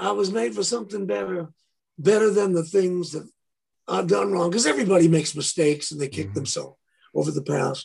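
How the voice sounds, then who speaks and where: A man speaks at a fairly quick pace in a fairly high voice. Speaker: guitarist and producer. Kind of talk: casual interview chat.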